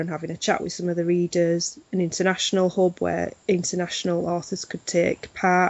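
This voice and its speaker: Fairly low, flat monotone from a woman at a fairly quick pace. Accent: Yorkshire. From Yorkshire. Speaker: literary festival organiser. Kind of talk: interview.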